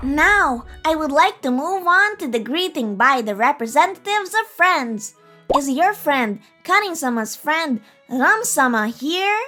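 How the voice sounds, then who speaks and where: Over faint music in the background, a woman uses a cartoonish character voice, high-pitched with very wide pitch swings, at a moderate pace. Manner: formal, polite.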